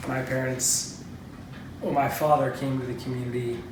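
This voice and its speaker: Flat, monotone delivery at a moderate pace in an American accent, with noticeable background noise and audible room echo. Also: man. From US Midwest. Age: 20s. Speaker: member of a religious community. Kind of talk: interview.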